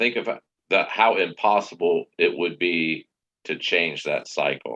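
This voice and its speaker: At a fairly slow pace, a man talks in a dry, close sound with no echo. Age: 60s. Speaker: stream participant. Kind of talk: casual chat.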